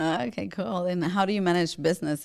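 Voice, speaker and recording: A woman talks at a fairly quick pace with a Spanish accent. Her pitch variation is ordinary. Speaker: podcast host. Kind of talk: casual interview chat.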